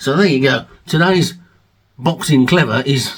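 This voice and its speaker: Lively intonation in a British accent. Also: man. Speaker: music vlogger and album reviewer. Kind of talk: casual video monologue. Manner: fast.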